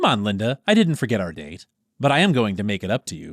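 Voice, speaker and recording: Very fast and fairly low-pitched, a man's put-on character voice makes very wide pitch swings and big swings in loudness, with a dry, close sound and no echo. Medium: read story. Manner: streetwise confidence, mixing Spanish slang.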